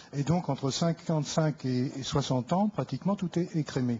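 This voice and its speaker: A man talks at a moderate pace with a fairly high pitch. He sounds somewhat breathy, and his pitch variation is ordinary. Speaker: audience member. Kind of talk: question to politician.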